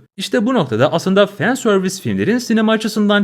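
Speaking at a very fast pace, a man uses a high-pitched voice. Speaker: YouTube film commentator. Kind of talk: video essay monologue.

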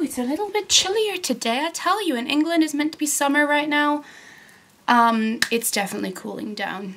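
A woman races along at a very fast pace with very wide pitch swings over noticeable background noise. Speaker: vlogger. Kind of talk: casual vlog chat. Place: home room. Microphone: phone near.

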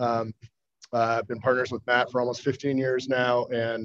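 A man with an American accent at a very fast pace, quiet background. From US Midwest, Chicago suburbs; Illinois. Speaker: investment fund manager. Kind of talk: formal hearing testimony. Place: meeting room. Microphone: podium.

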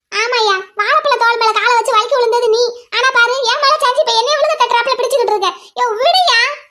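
A woman uses a cartoonish character voice. Her pitch is extremely high. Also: fairly quick pace. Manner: brash, teasing.

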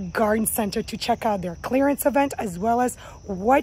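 A woman speaks at a moderate pace in a dark, mellow, somewhat breathy tone with ordinary pitch variation. The sound is dry, with no echo. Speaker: gardening vlogger. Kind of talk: casual vlog chat. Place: garden. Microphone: phone near.

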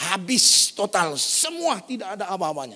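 A man speaks in an animated tone at a high pitch. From North Sumatra, Indonesia (Batak). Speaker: pastor. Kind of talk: sermon. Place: church.

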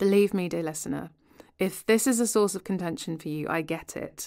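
In a very clean recording with a silent background, a woman uses a normal speaking voice at medium pitch with lively intonation. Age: 30s. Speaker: podcast host. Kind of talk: casual chat; scripted narration.

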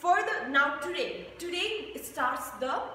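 A woman speaks at a fairly slow pace, high in pitch. There is light background noise and audible room echo. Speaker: fitness instructor. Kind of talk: casual vlog chat. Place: gym. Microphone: camera far.

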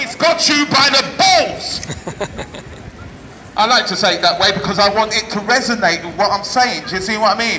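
A man's high, raised and projected voice, with audible room echo and light background noise. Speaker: street preacher. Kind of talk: street sermon. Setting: outdoors. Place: street. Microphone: camera far.

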